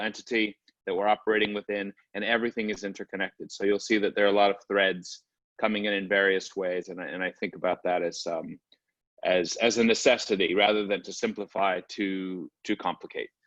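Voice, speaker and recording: Speaking at a fairly quick pace with monotone, flat intonation, a man with an American accent and a fairly low pitch comes through in a dry, close sound with no echo. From US, Brooklyn New York. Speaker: artist. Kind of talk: online panel presentation. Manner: fast.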